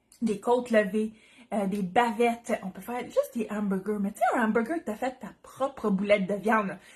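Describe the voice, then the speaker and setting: A woman talks at a fairly quick pace and fairly high pitch with a Quebec accent. Her tone is animated. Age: 30s. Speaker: Tupperware consultant, cooking demo host. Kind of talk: live cooking demo. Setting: livestream from home kitchen.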